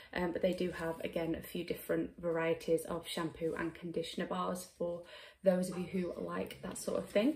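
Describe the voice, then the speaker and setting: A fairly quick-paced woman's voice in a British accent. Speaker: beauty blogger and YouTuber. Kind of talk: product unboxing review. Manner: casual, with frequent fillers.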